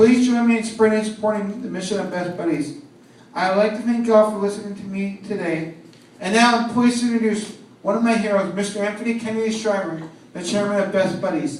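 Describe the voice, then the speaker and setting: Speaking very fast with an American accent, a man keeps his high voice fairly even in intonation. Audible room echo and noticeable background noise fill the recording. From San Francisco, US West Coast. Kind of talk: prepared speech. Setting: stage with audience at event. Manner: loud.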